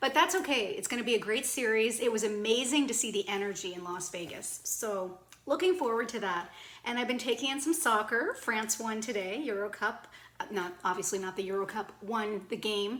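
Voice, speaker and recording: Fairly quick speech from a woman with a Cape Breton accent, fairly high in pitch with ordinary pitch variation, amid noticeable background noise. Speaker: video blogger. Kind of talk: casual vlog chat.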